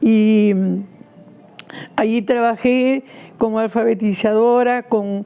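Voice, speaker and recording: A woman talks at a very slow pace. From Peru, Lima (Rímac). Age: 80s+. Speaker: activist. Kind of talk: interview testimony. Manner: hesitant, with fillers.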